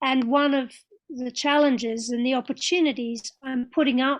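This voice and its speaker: A woman speaks at a high pitch and a fairly slow pace, with fairly even intonation. The recording is very clean, with a silent background. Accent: Australian. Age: 60s. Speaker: interfaith leader. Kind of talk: panel talk.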